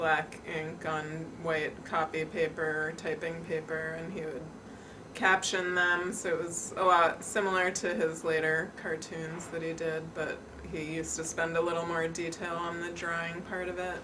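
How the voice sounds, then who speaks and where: A woman with an American accent, fairly low in pitch and fairly slow, in a monotone, flat delivery, with audible room echo and noticeable background noise. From New York City. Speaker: daughter of the documentary subject. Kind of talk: interview.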